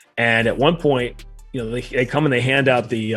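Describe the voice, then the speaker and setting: A man speaks at a moderate pace with an American accent and a medium pitch. Music plays in the background. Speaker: radio play-by-play announcer. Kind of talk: interview answer, storytelling. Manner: conversational, animated.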